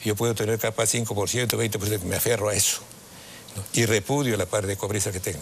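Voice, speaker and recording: Against noticeable background noise, a man with a fairly low pitch talks at a very fast pace with fairly even intonation. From Peru. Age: 80s+. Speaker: father of a politician, lawyer and ideologue. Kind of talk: interview. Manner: halting.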